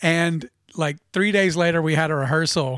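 A man speaks at a moderate pace in a normal speaking voice, his pitch fairly high with ordinary variation. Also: very clean recording, silent background. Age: middle-aged. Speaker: musician and retired business owner. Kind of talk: casual interview chat. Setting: studio.

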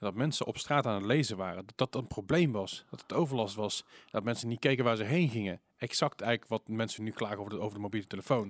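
Recorded very cleanly against a silent background, a man talks very fast at a medium pitch with ordinary pitch variation. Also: dry, close sound with no echo. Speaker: podcast host. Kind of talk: casual chat.

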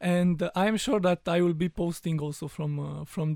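A man speaks with a Romanian accent at a moderate pace. His tone is dark and mellow. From rural Romania. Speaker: immigrant. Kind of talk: panel discussion. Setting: studio.

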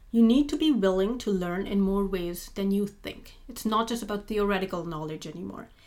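A woman's medium-pitched voice with a non-native accent, ordinary pitch variation, and hardly any pauses. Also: fairly quick pace. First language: not English. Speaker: postdoctoral researcher in immunology. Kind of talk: interview.

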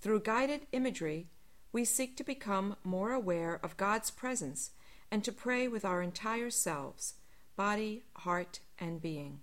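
A normal speaking voice from a woman, medium in pitch, fairly slow, with lively intonation. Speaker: spiritual director leading prayer. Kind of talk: guided meditation, calm spoken prayer. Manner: slow, soft-spoken, soothing with long pauses; gentle, unhurried, reverent.

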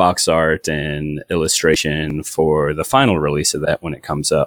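A man's very deep, low voice in a very clean recording with a silent background. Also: dry, close sound with no echo. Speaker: game graphics artist. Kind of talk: interview.

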